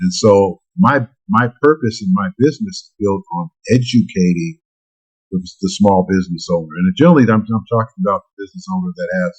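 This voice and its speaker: A man talks at a fairly quick pace, his voice somewhat breathy. His pitch swings very widely, and the sound is dry and close with no echo. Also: medium pitch for a man. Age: 60s. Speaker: tax credit consultant. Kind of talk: podcast interview. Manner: hesitant with fillers.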